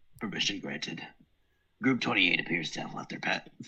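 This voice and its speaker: A man uses a put-on character voice, fairly low in pitch and strained, with a menacing tone. He talks at a fairly quick pace. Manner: menacing, formal military tone.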